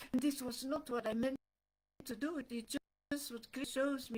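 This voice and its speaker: A woman speaks in a high pitch with a non-native accent. The sound is dry and close, with no echo. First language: not English. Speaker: devotional speaker. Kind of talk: spiritual talk. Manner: animated.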